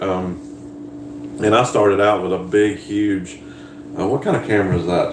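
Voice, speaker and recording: A man's fairly low voice in a strong Southern US accent, with audible room echo and noticeable background noise. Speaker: farmer and YouTuber. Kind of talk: live stream chat.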